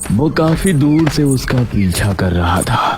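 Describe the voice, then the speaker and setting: Over clear background music, a man puts on a character voice at a medium pitch and a fairly slow pace. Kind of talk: horror narration. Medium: read story.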